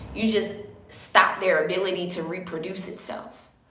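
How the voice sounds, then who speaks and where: Speaking in a passionate tone, a woman with a medium-pitched voice and ordinary pitch variation is heard over noticeable background noise and audible room echo. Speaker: naturopathic herbalist. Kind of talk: live stream talk. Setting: live video stream.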